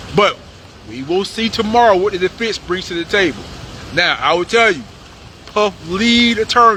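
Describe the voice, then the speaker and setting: The speaker uses a raised, projected voice and an animated tone, with ordinary pitch variation, a moderate pace and long, frequent pauses. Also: man, high pitch for a man. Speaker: YouTube commentator. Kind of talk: live outdoor report recap. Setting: outdoors outside courthouse. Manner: casual, animated.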